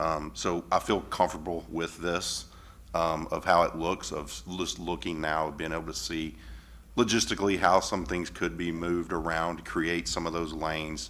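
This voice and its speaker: A man speaks with a very deep, low pitch and vocal fry. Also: ordinary pitch variation, moderate pace. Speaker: school board member. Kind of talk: board meeting discussion. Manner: loud; hesitant, many fillers.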